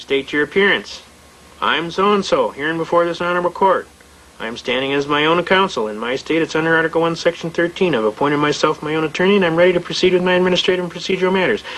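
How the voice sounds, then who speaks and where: Over noticeable background noise, a man with a high pitch and ordinary pitch variation talks at a very fast pace. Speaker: lecturer on constitutional law. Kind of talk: lecture. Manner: animated.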